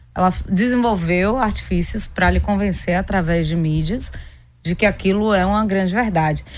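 Audible room echo surrounds a woman talking at a medium pitch and a moderate pace. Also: ordinary pitch variation. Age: 40s. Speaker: endocrinologist. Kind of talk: radio interview.

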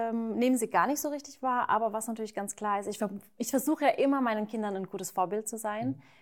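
A woman speaks very fast at a fairly high pitch. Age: 30s. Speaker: YouTuber and mother of two. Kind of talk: casual chat. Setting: at her home, not a studio.

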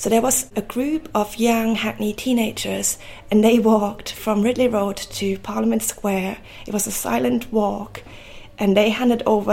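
A woman speaks at a medium pitch. Noticeable background noise accompanies her voice. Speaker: photographer and oral historian. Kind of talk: interview. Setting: artist's studio above a market.

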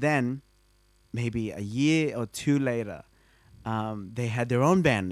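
A man with an Australian accent talks at a very slow pace at medium pitch, using ordinary pitch variation. His long, frequent pauses sit on a very clean recording with a silent background. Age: 20s. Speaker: bassist. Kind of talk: casual chat. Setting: at his home.

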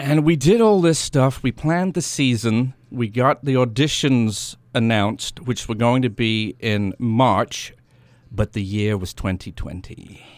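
Lively intonation with a slight British accent on a very clean recording over a silent background. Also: man, medium pitch for a man. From England. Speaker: theatre company founder and playwright. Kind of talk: radio interview. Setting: radio studio.

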